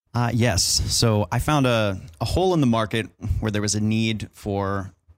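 In a very clean recording with a silent background, a man with an unremarkable speaking voice speaks at a moderate pace and fairly low pitch, with ordinary pitch variation. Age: 20s. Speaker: mixing engineer. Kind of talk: casual chat. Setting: hotel room at a trade show.

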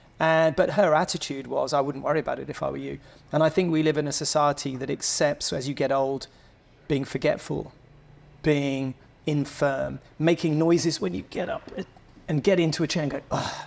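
At a fairly quick pace, a man with an English accent speaks at a fairly high pitch with fairly even intonation. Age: 50s. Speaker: motorcycle club founder. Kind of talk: casual chat. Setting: member lounge.

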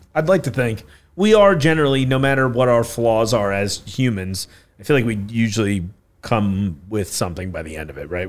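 Talking at a fairly quick pace, a man speaks at a medium pitch. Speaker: podcast host. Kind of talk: podcast interview. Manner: quieter than usual, subdued; enthusiastic.

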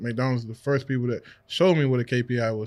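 Talking at a very fast pace, a man with an American accent comes through in a very clean recording with a silent background. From Washington, D.C. area. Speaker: real estate investor. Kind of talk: casual interview. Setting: studio.

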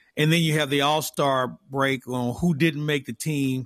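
With a normal speaking voice, a man talks at medium pitch and a moderate pace, his intonation fairly even and the sound dry and close with no echo. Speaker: radio sports host. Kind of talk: casual sports talk.

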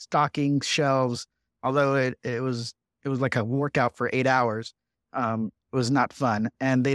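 In a very clean recording with a silent background, a man with an American accent speaks at a medium pitch in a monotone, flat intonation. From Southern California (Riverside). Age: 40s. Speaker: congressman. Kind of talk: interview.

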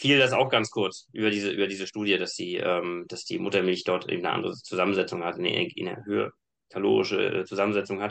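This man has an ordinary speaking voice, fairly low in pitch. His intonation is fairly even. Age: 30s. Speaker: engineer and fitness coach. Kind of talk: casual chat.

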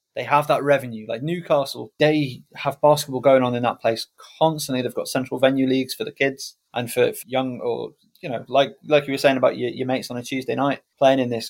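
A man with a North Welsh accent speaks at a fairly quick pace. His pitch is fairly high and his intonation fairly even. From Wales. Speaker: basketball commentator and podcaster. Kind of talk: casual interview chat.

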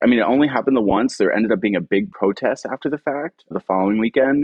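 Lively in his intonation, a man talks at a very fast pace. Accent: American. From Philadelphia, Fishtown. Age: 30s. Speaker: art blogger and podcast host. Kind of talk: casual chat.

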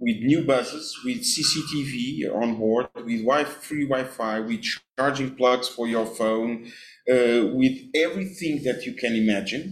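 A man speaks at a fairly slow pace in a Portuguese accent. His pitch is medium, with ordinary variation. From Portugal, Cascais. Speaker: deputy mayor. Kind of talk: interview. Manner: halting, with many repeated words.

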